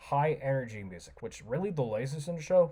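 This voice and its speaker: Somewhat breathy, a man speaks at a fairly high pitch with a dark, mellow tone. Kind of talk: casual talk to camera. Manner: fast.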